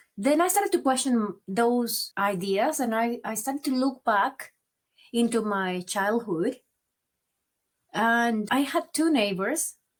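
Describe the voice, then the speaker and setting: With a strong Venezuelan accent, a woman speaks at a very slow pace in a fairly high pitch with lively intonation, on a very clean recording with a silent background. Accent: marked Venezuelan Spanish. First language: Spanish. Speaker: migrant advocate and author. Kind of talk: interview. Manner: occasional stammered repeats.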